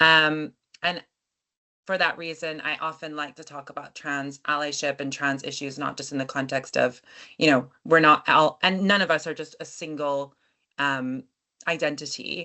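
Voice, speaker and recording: Keeping a moderate pace, a woman speaks with fairly even intonation. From United States. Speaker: activist and workshop facilitator. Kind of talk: workshop presentation. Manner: hesitant, frequent fillers.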